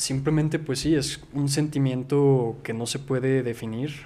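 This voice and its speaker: Dark and mellow in tone, a man's medium-pitched voice carries fairly even intonation. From Mexico, Zacatecas. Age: 20s. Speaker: writer and film YouTuber. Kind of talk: casual chat.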